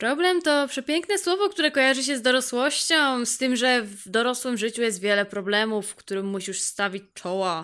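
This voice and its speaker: A high-pitched woman's voice, bright and sharp in tone, animated, with lively intonation at a moderate pace. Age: 20s. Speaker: podcaster. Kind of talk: casual monologue.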